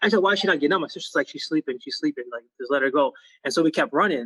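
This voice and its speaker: A man speaks at a very fast pace with a high pitch. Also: dry, close sound with no echo. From Liberia, moved to US as small child in 1991. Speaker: musician and lemonade entrepreneur. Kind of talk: casual interview. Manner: casual, filler-heavy.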